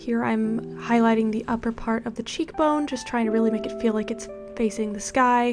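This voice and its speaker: A woman speaks at a fairly high pitch with fairly even intonation. Music plays in the background. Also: moderate pace. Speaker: 3D artist. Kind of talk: software tutorial narration. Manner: soft-spoken.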